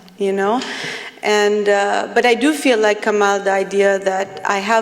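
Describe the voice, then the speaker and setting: Woman at medium pitch, monotone and flat, at a fairly slow pace, with noticeable background noise. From Palestinian diaspora, multilingual upbringing. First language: not English; grew up with four home languages. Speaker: poet. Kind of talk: panel discussion. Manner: halting, many fillers and restarts.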